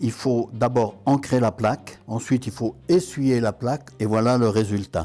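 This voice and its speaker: A man's dark, mellow tone at a fairly slow pace. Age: 80s+. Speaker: traditional printer. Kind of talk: documentary interview.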